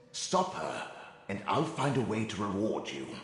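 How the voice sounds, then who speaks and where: A man performs a put-on character voice, heard with strong echo. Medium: video game. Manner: haughty, bitter.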